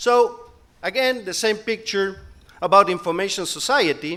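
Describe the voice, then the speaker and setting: A man with a Spanish accent, high in pitch, at a moderate pace. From Spain. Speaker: conference speaker, company director. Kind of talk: conference talk.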